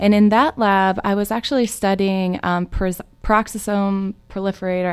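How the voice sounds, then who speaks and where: In an American accent, a woman with an unremarkable speaking voice talks at medium pitch and a moderate pace, her pitch varying in an ordinary way. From Michigan. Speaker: environmental epidemiologist. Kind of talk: radio interview. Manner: frequent fillers.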